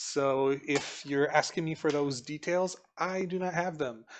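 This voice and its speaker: A man speaks with a fairly high pitch. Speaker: mahjong commentator. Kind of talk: live commentary. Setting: live stream. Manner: calm.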